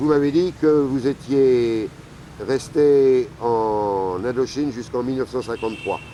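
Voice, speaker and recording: A man with a medium pitch and ordinary pitch variation talks at a very slow pace. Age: 60s. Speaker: travel documentary maker. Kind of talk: interview.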